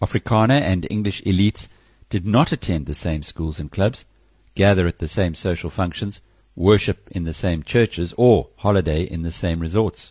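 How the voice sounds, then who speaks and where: Against a quiet background with a dry, close sound and no echo, a man speaks at a moderate pace in a very deep, low, somewhat breathy voice with ordinary pitch variation. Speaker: audiobook narrator. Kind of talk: audiobook reading of a political history, formal narration. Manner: measured, formal, even-paced.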